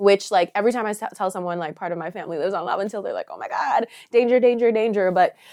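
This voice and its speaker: A woman rushes along at a very fast pace in a dark, mellow tone. Her loudness swings widely while her pitch varies in an ordinary way. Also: medium pitch for a woman. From Canada, Ottawa (born Trinidad, moved at five). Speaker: singer-songwriter. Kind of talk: interview. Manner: trying to speak properly.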